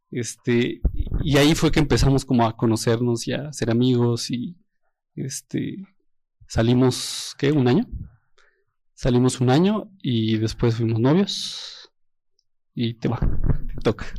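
Very slow and marked by long, frequent pauses, a man speaks at medium pitch with ordinary pitch variation. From Mexico, Toluca. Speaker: engaged churchgoer giving testimony. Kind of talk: testimony.

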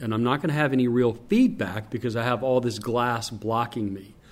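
Speaking at a moderate pace, a man of medium pitch with a slight Southern US accent uses ordinary pitch variation. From North Carolina. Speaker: stadium public address announcer. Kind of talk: interview, casual chat.

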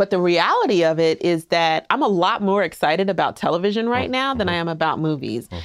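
A woman with a fairly low pitch and an American accent talks at a fairly quick pace with lively intonation and hardly any pauses. Her loudness stays very even, and it is a plain, everyday voice. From US East Coast, New Jersey and Queens, New York. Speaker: filmmaker and film professor. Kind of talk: casual interview chat.

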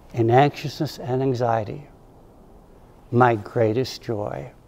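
A man's very slow, somewhat breathy voice at medium pitch, dark and mellow in tone, with an American accent. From upstate New York. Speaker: ordained minister. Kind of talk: sermon.

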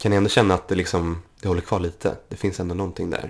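Music in the background behind a man's very deep, low voice, very fast in pace with fairly even intonation. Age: 20s. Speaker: podcast guest with type 1 diabetes. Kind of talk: casual chat.

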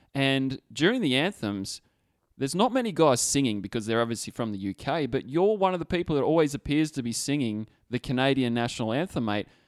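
A man with a plain, everyday voice speaks at medium pitch and a fairly quick pace with lively intonation, in a very clean recording with a silent background and a dry, close sound with no echo. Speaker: podcast host. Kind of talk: casual chat. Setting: studio.

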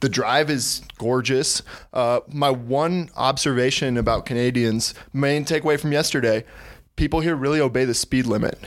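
An unremarkable speaking voice with an American accent, moderate pace, fairly even intonation and very even loudness, on a very clean recording with a silent background. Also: man, medium pitch for a man. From Texas. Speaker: sports podcast contributor. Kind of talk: casual chat.

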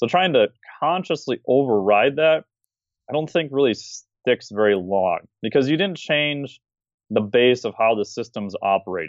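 Speaking in an unremarkable speaking voice, a man keeps a moderate pace at medium pitch. His intonation is lively. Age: 40s. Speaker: fitness and metabolism expert. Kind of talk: podcast interview.

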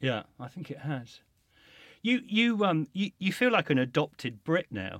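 A man with an English accent speaks at a fairly slow pace with very wide pitch swings. The sound is dry and close, with no echo. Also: fairly high pitch for a man. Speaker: podcast host. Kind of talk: interview conversation. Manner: hesitant, many fillers and restarts.

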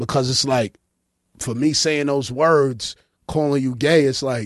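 Speaking with a Brooklyn accent, a man keeps a moderate pace, his fairly high pitch showing ordinary variation. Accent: Brooklyn New York. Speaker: podcast host. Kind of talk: casual banter, comedic. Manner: joking, irreverent.

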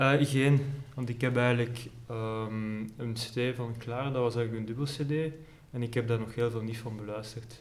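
Speaking with a Flemish accent, a man keeps a moderate pace and a flat, monotone intonation. Room echo is audible. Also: medium pitch for a man. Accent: Flemish Dutch. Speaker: student and amateur pianist. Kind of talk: casual chat. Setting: library.

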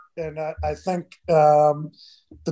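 Here a man speaks in a dark, mellow tone with fairly high pitch. His intonation is monotone and flat. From Michigan (Detroit area). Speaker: retired hockey player. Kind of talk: casual interview. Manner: dry, understated.

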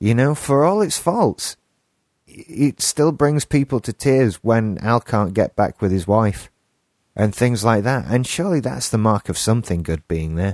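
Recorded very cleanly against a silent background, with a dry, close sound and no echo, a man at medium pitch speaks at a fairly slow pace with lively intonation. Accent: English. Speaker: podcast co-host. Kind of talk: casual chat.

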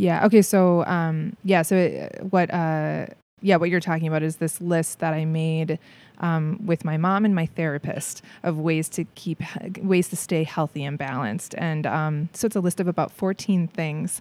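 A woman speaks in an ordinary speaking voice with an American accent and fairly low pitch. Her pace is moderate and her intonation fairly even. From Minnesota, Saint Paul. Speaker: theatre performer and creator. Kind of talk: casual interview.

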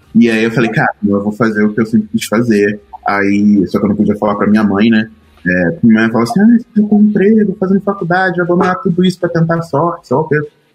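Music plays behind a man talking fairly quickly at a medium pitch. His pitch swings very widely while his loudness stays very even. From Rio de Janeiro periphery, Duque de Caxias. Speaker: designer. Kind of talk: casual chat.

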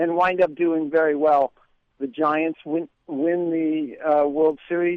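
At a very slow pace, a man talks in a fairly high pitch with monotone, flat intonation. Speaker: political commentator and writer. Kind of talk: radio interview. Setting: phone line.

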